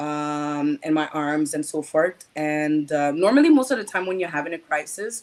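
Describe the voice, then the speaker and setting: This woman has a very deep, low voice. She speaks in a Quebec accent. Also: ordinary pitch variation, moderate pace, hardly any pauses. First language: French. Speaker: patient advocate. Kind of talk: interview testimony. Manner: halting.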